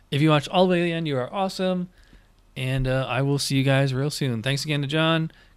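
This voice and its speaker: At a very fast pace, the speaker talks with an American accent and ordinary pitch variation. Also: man. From upstate New York (Schenectady). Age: 40s. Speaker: podcast host and gig worker. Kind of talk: show sign-off; casual interview chat.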